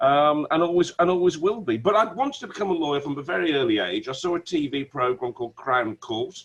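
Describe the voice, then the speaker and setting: A man races along at a very fast pace with hardly any pauses. His fairly high voice carries lively intonation. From West Midlands, Wolverhampton. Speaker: barrister. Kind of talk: interview. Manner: stammering repetitions.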